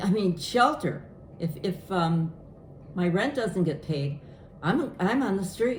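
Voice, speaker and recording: A woman's medium-pitched voice with lively intonation, a very slow pace and long, frequent pauses, amid audible room echo and noticeable background noise. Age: 80s+. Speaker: elderly woman seeking help in guardianship dispute. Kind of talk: casual chat appeal.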